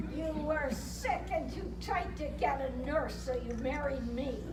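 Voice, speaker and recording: A put-on character voice at a fairly slow pace, with a slight echo over loud background noise. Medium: stage play. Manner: tart, bickering.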